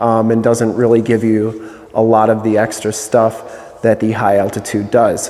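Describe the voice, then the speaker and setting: The man's delivery comes at a fairly slow pace. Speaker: presenter. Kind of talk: product walkaround commentary. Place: studio. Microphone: lapel.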